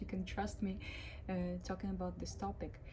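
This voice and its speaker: A woman's voice carries audible room echo, with music playing in the background. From Ukraine. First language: Ukrainian or Russian. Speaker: cruise ship musician and vlogger. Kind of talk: casual vlog. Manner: hesitant, many fillers.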